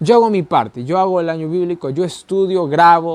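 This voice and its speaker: A man talks at a moderate pace, his high pitch showing ordinary pitch variation. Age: young. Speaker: Bible teacher. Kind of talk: Bible study lesson. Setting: recording alone to camera. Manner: conversational, repeats ¿ya?.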